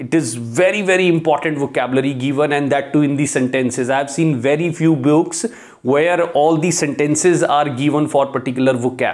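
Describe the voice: With few pauses and a moderate pace, a man speaks at a fairly high pitch with ordinary pitch variation. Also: slightly mellow tone.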